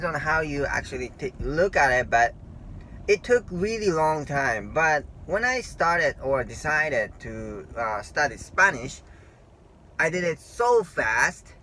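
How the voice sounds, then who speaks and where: A man with a Japanese accent talks fairly slowly in a fairly high voice, his intonation lively. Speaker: language learning vlogger. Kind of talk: casual talk to camera. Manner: halting.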